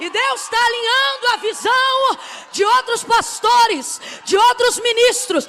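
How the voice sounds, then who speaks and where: A woman speaks at an extremely high pitch in a raised, projected voice, at a very slow pace. Her pitch variation is ordinary, and there is noticeable background noise. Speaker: preacher. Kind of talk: sermon. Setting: church pulpit. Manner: emphatic, repetitive.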